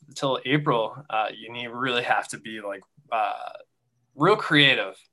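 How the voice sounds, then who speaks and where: A man speaks at a moderate pace in a bright, sharp tone, on a very clean recording with a silent background. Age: 20s. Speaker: nurse. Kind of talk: interview. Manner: halting, many fillers.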